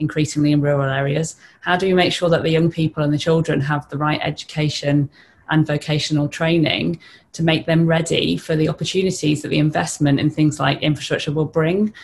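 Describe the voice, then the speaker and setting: Somewhat breathy speech comes at a very fast pace with monotone, flat intonation. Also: woman. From northern England (Teesside); northern England. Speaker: lawyer, business partnership representative; lawyer. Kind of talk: webinar panel discussion. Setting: online webinar. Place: home room. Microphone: video call.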